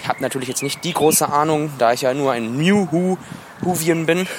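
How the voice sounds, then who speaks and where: Noticeable background noise surrounds a man whose voice sits fairly high. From Wuppertal, western Germany. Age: 20s. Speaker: listener applying to join the show. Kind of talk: recorded voice message.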